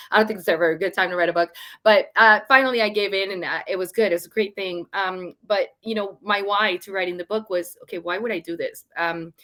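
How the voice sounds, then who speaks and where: Speaking at a fairly quick pace with hardly any pauses, a woman with a Venezuelan accent has a bright, sharp tone in a dry, close sound with no echo. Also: medium pitch for a woman. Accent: Venezuelan Spanish accent, noticeable. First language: Spanish. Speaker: storytelling author and speaker. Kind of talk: live stream interview. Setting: livestream. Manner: animated.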